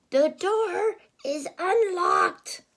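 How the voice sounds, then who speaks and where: Using a put-on character voice, a woman speaks in a squeaky, extremely high pitch. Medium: read story. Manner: sly, relishing.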